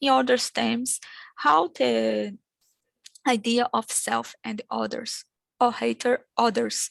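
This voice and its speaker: In a Brazilian accent, the speaker goes at a very slow pace with long, frequent pauses and a dry, close sound with no echo. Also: woman, quiet background. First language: Portuguese. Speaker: academic conference speaker. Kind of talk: conference presentation. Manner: halting.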